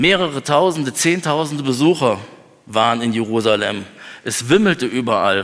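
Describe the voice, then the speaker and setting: Speaking at a moderate pace, a man with a plain, everyday voice uses lively intonation at a medium pitch. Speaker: preacher. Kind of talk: sermon. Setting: church. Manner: earnest, lively preacher's delivery, conversational with humor.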